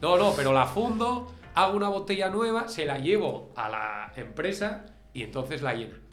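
Over background music and audible room echo, a man talks at a moderate pace in a high pitch with very wide pitch swings. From Spain, Asturias (Gijón). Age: 40s. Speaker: school teacher. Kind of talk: casual interview. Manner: halting, repeats words.

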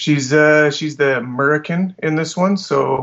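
A man with a western Canadian accent speaks at a fairly high pitch, his pitch varying in an ordinary way. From Alberta, Canada. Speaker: meme creator. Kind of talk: casual chat.

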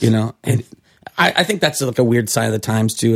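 In an American accent, a somewhat breathy voice moves at a fairly quick pace on a very clean recording with a silent background. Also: man. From California. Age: 40s. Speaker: bartender and restaurateur. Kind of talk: casual chat.

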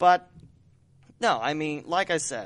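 This man has a fairly high pitch and an Ohio accent. He talks at a fairly slow pace. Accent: Ohio Midwestern American. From Dayton, Ohio. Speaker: podcast host and sports broadcaster. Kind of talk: casual interview chat.

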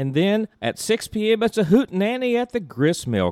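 A man with an American accent speaks, his pitch swinging very widely. The sound is dry and close, with no echo. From US South, East Tennessee. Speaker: tourism podcast host. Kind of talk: event announcements; interview.

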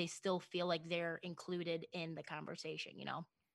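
A woman speaks with an American accent in a plain, everyday voice. The recording is very clean, with a silent background. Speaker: broadcaster and bartender. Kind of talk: casual interview chat.

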